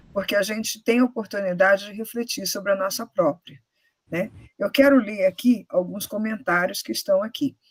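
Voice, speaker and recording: The voice is somewhat breathy, with ordinary pitch variation. The sound is dry and close, with no echo. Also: woman, medium pitch for a woman, moderate pace. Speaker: university professor. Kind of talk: moderated Q&A. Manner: hesitant, many fillers.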